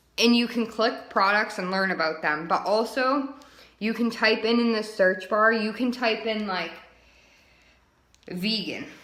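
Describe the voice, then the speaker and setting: Recorded with audible room echo, a woman with a fairly high pitch speaks at a fairly slow pace and ordinary pitch variation. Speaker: direct sales team leader. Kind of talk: training webinar. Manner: casual, filler-heavy.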